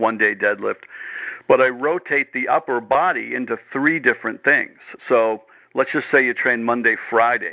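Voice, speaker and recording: Here is a man in a normal speaking voice at medium pitch. He keeps a moderate pace with ordinary pitch variation. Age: 60s. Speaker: strength coach and podcast host. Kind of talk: casual interview chat.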